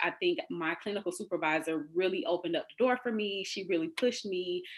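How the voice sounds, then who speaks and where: On a very clean recording with a silent background, a woman with an American accent talks at a fairly quick pace and medium pitch. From Florida. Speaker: eating disorder recovery coach. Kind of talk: interview.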